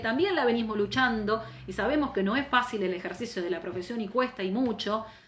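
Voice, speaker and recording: Talking very fast with hardly any pauses, a woman with a fairly high pitch sounds animated, her intonation lively, with audible room echo and noticeable background noise. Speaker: labor lawyer and teacher. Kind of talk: live online lecture. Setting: Instagram live stream.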